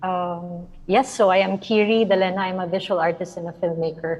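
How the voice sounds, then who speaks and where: A soft-spoken woman with a Filipino accent talks at a fairly slow pace. Her medium pitch follows a fairly even intonation. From Philippines. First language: Filipino language. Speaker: visual artist and filmmaker. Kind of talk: artist presentation.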